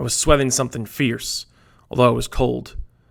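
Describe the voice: What you hear is plain reading aloud.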